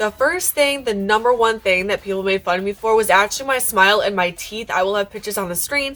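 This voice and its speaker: A woman talks at a very fast pace with hardly any pauses and ordinary pitch variation. Background noise is noticeable. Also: fairly high pitch for a woman. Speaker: YouTuber. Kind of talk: storytime vlog.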